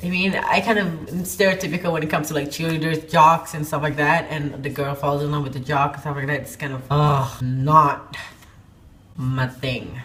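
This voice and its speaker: Over noticeable background noise and audible room echo, a woman speaks at a moderate pace with ordinary pitch variation. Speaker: book reviewer on video channel. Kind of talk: casual video review. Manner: stuttering at times.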